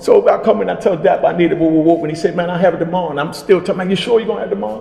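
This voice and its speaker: Someone with an American accent talks at a very fast pace. Noticeable background noise runs underneath. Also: man. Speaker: interviewer, host. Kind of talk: casual storytelling intro.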